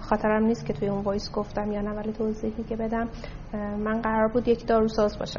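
A woman talks at a very fast pace in a fairly high, monotone voice with flat intonation. Noticeable background noise is present. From Tehran, Iran. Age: 30s. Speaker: investment company CEO. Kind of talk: interview.

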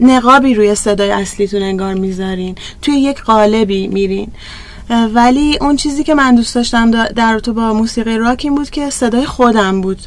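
A woman with a fairly high voice and ordinary pitch variation talks at a fairly quick pace, with audible room echo and noticeable background noise. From Tehran, Iran. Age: 40s. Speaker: rock singer. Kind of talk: live interview.

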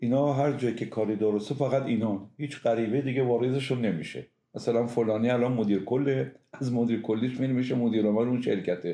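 A very fast-talking man with a dark, mellow tone, medium pitch, fairly even intonation and very even loudness. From Iran, Semnan. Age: 70s. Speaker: pharmaceutical industry veteran. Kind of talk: interview, reminiscing.

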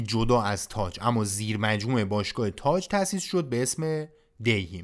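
A man with a plain, everyday voice, lively intonation and a moderate pace, in a very clean recording with a silent background. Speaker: podcast host and narrator. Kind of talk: scripted narration.

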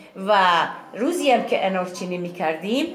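Amid noticeable background noise and audible room echo, a woman speaks at a medium pitch and a moderate pace. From Iran, Yazd province village. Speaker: villager, Zoroastrian farmer. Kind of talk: interview, reminiscing.

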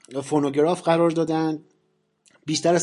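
A man's voice with a dark, mellow tone. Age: 40s. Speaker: podcast host on science and astronomy. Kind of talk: solo podcast monologue, semi-scripted explainer.

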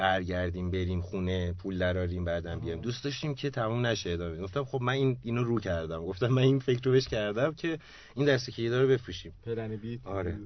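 His pace is very fast. The man's intonation sounds lively. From Iran, Malayer. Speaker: photographer and van-life traveller. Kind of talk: radio interview.

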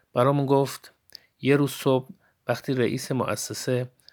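A man talks fairly slowly, captured on a very clean recording with a silent background. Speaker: podcast host. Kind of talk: storytelling monologue.

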